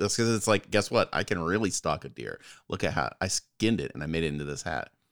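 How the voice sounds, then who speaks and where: At a very fast pace, with very wide pitch swings and vocal fry, the voice comes through dry and close with no echo on a very clean recording with a silent background. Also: man. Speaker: podcast co-host. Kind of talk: casual banter between friends. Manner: chatty, animated.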